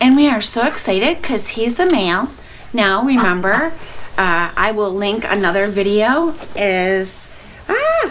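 A woman's voice at a fairly slow pace, with light background noise. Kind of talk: casual vlog chat. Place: farm machine. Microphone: camera far.

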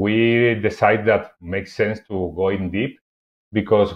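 A moderately paced man's voice, fairly low in pitch. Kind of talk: conference presentation. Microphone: webcam.

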